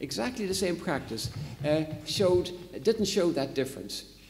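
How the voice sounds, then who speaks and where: A man's pitch swings very widely. Room echo is audible. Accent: Irish. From Ireland. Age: old. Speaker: psychology professor. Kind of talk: lecture. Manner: hesitant, with fillers.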